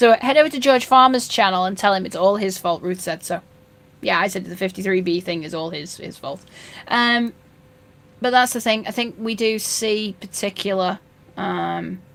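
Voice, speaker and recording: A woman's medium-pitched voice in a Yorkshire accent, at a moderate pace, with ordinary pitch variation and big swings in loudness. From North Yorkshire, northern England. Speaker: fishkeeping live streamer. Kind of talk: live stream chat reading comments. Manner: casual, many fillers and restarts.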